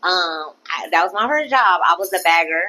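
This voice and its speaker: A woman with an American accent speaks at a medium pitch in an animated tone, her lively intonation carried by a bright, sharp sound. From Orlando, Florida (Pine Hills). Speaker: comedian. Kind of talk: casual interview.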